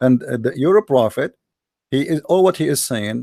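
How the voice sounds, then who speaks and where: Dry and close with no echo, this very clean recording with a silent background captures a man's fairly high pitch and dark, mellow tone. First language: Arabic. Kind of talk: heated debate.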